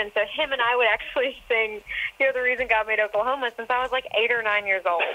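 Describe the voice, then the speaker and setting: The speaker has an American accent. There is noticeable background noise. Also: woman. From Texas. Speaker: country singer. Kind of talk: interview. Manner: animated.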